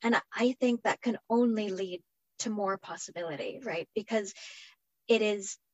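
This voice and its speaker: With a normal speaking voice, a woman talks at a moderate pace, her medium pitch showing ordinary variation. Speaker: microscopy center director, panelist.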